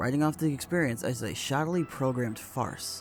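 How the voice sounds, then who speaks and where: Music in the background behind a man's fairly high voice, fairly quick pace and ordinary pitch variation. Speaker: horror story narrator. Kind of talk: creepypasta story reading.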